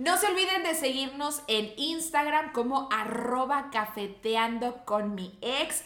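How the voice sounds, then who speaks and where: The speaker talks at a very slow pace in a Mexican accent with lively intonation and hardly any pauses. Audible room echo and noticeable background noise fill the recording. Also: woman, high pitch for a woman. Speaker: podcast co-host. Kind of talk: casual chat.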